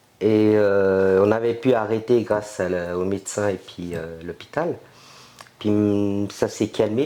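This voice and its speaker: This man's fairly even delivery sits at a fairly low pitch. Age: 50s. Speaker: interviewee with multiple sclerosis. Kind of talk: testimony. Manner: hesitant.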